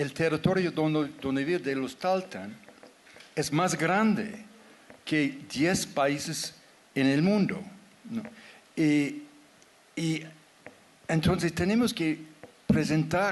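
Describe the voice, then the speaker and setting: Here a man talks at a very slow pace with long, frequent pauses. His pitch is fairly high. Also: ordinary pitch variation. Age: 70s. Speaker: anthropologist and writer. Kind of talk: panel discussion. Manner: halting.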